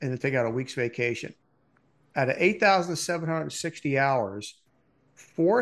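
A man at medium pitch with ordinary pitch variation, a moderate pace and a quiet background. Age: 60s. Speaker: podcast co-host, Marine Corps veteran. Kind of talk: casual chat.

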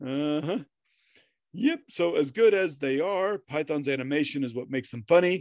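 Over a quiet background, a man speaks in an unremarkable speaking voice at a moderate pace. His pitch is fairly high, with ordinary variation. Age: 40s. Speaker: podcast co-host. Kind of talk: casual chat.

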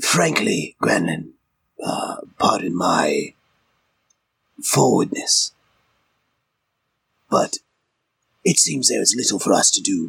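Using a put-on character voice, a raspy man speaks at a fairly slow pace with long, frequent pauses. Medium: actual play. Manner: formal, articulate.

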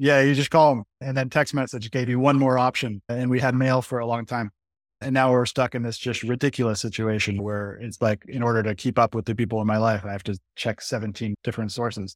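A man with an unremarkable speaking voice at medium pitch and a fairly quick pace, with hardly any pauses, fairly even intonation, and a dry, close sound with no echo. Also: very clean recording, silent background. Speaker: podcast host. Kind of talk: casual interview.

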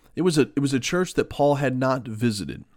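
This man has a plain, everyday voice. He talks at a fairly quick pace with lively intonation. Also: very clean recording, silent background. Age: 40s. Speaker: pastor podcast host. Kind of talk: devotional bible teaching. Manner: conversational.

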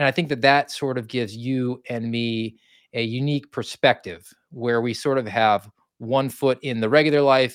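The sound is dry and close with no echo, carrying a man's voice at a medium pitch and a moderate pace. It is an unremarkable speaking voice with fairly even intonation. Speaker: podcast host. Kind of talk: casual conversational livestream. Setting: online livestream.

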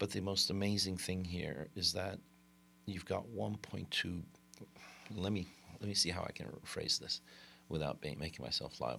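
A man with very deep, low pitch and vocal fry speaks at a moderate pace in a bright, sharp tone. His pitch varies in an ordinary way, and he leaves long, frequent pauses. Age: 40s. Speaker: entrepreneur, company CEO. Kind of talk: interview. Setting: studio. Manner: halting, many fillers.

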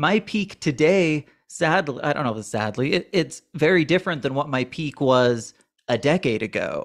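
An ordinary speaking voice with lively intonation at a moderate pace, in a very clean recording with a silent background. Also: man. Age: 30s. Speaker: financial podcast co-host. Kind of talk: casual podcast chat.

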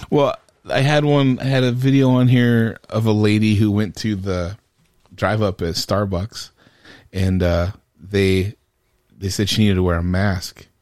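A man with a fairly low pitch for a man, ordinary pitch variation, a fairly slow pace and long, frequent pauses, on a very clean recording with a silent background. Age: 40s. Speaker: medical podcast host, healthcare worker. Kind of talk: casual chat. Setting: studio.

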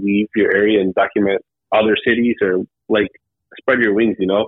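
A man with an American accent and an ordinary speaking voice, fairly low in pitch, at a moderate pace. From Cleveland, Ohio, US Midwest. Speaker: YouTuber documenting lowrider car shows. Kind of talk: casual interview chat. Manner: relaxed, casual, frequent 'man' and 'um'.

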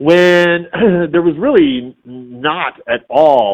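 A man talks, his pitch rising and falling in very wide swings. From US Midwest, Detroit suburbs (Warren). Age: 50s. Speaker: voice actor and puppeteer. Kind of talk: casual interview chat.

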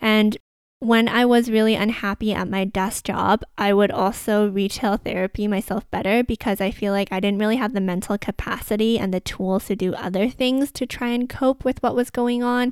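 A woman with a Canadian accent and an unremarkable speaking voice talks at a moderate pace with hardly any pauses, her pitch fairly high and her intonation fairly even. The recording is very clean, with a silent background and a dry, close sound with no echo. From Canada, Vancouver. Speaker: podcast host, sustainable fashion consultant. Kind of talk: solo podcast monologue.

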